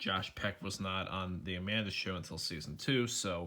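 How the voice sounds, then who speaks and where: The recording is very clean with a silent background. A man speaks quietly in a bright, sharp tone. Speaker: youtuber. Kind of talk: casual vlog commentary. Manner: quiet, keeping voice down; hesitant, many fillers.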